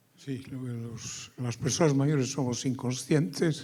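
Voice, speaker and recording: With a dark, mellow tone and a somewhat breathy quality, a man speaks at a medium pitch and fairly even intonation. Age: 80s+. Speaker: audience member, retired mathematician. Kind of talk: audience question.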